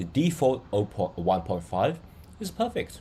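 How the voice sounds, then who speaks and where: A man with a non-native accent speaks in a fairly low, dark and mellow, somewhat breathy voice whose pitch swings very widely. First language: not English. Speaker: digital art and AI tutorial creator. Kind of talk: tutorial. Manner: slow, deliberate; hesitant, many fillers.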